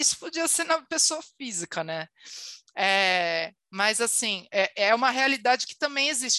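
A woman's bright, sharp voice at a moderate pace, with very wide pitch swings, a dry, close sound with no echo and a quiet background. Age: 30s. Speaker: marketing leader. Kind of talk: casual chat. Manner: animated.

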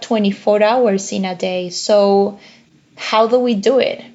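Her pitch shifts in an ordinary way. The woman talks with a Spanish accent. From Uruguay. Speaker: economics professor. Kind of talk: interview.

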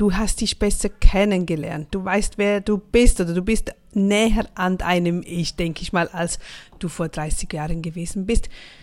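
With fairly even intonation, a woman speaks at a medium pitch and a fairly slow pace. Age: 40s. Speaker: motivational podcaster. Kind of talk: motivational monologue.

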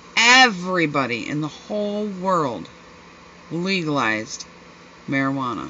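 Loud and very slow, a woman's medium-pitched voice moves through very wide pitch swings. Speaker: podcast host. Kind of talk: casual chat. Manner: animated, laughing often.

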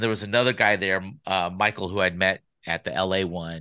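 Over a quiet background, a man with an American accent talks at a fairly quick pace. His fairly low voice has a bright, sharp tone and ordinary pitch variation. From Sacramento, California. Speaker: podcast producer. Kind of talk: casual chat.

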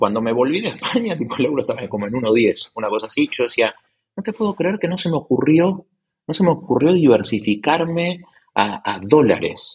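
A somewhat breathy male voice, fairly high-pitched, at a fairly quick pace with very wide pitch swings. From Argentina, Buenos Aires. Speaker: tech investor and entrepreneur. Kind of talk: casual interview. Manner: halting, many repetitions and fillers.

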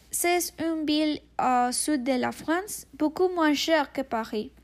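The recording is very clean, and the background is silent. A woman talks with a Spanish accent. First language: Spanish (speaking French). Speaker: language student, podcast co-host. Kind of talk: student podcast presentation, partly read. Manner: halting, many hesitations.

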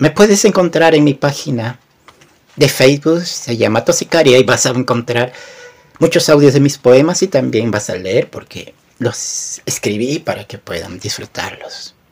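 A man's plain, everyday voice, fairly high-pitched for a man, at a fairly slow pace with lively intonation and big swings in loudness. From Peru. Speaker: poet. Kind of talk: poetry reading; casual chat.

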